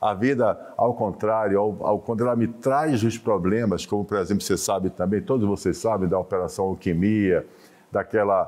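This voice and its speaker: A man talks at a moderate pace with ordinary pitch variation. His loudness stays very even, over noticeable background noise. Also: fairly low pitch for a man. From Brazil, Bahia (Salvador). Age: 60s. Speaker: business association president. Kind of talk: TV interview.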